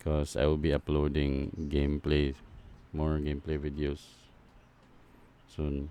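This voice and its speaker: A man's very deep, low pitch and dark, mellow tone in a non-native accent, fairly slow and flat in intonation, with long, frequent pauses. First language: not English. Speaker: gaming YouTuber reacting to a preview. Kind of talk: casual reaction commentary. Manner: halting.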